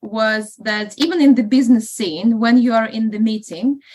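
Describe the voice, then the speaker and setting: A woman speaks with a Russian accent in a fairly high voice. Her pace is fairly slow. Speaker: estate agent and property investor. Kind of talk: interview podcast. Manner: hesitant, many fillers.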